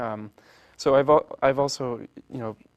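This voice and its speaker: A man speaks at a medium pitch in a Polish accent. His intonation is flat and monotone. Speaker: orchestra founder. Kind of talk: interview. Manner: halting, many restarts.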